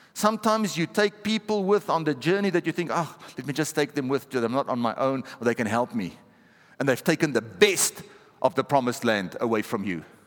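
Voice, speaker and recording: This man sounds animated, speaking at a fairly high pitch and a fairly quick pace. His pitch swings very widely, and the sound is dry and close with no echo. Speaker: pastor. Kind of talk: sermon. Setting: church with live congregation. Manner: rhetorical, punchy, driving short challenges and exhortations.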